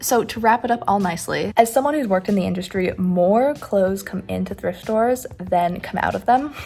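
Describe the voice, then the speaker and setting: Noticeable background noise sits under a woman talking at a very fast pace. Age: 19. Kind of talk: voiceover commentary. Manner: shy, stutters.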